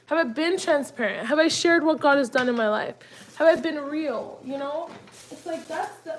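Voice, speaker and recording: There is noticeable background noise. Over it, a high-pitched woman speaks with lively intonation. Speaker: lifestyle vlogger. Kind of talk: casual chat. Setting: kitchen, cooking while talking. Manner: casual, filler-heavy.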